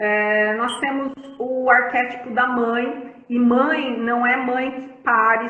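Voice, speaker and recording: In a room with audible echo, a woman talks in a high, monotone, flat voice. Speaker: family constellation therapist. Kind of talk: live-stream conversation. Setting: Instagram live stream.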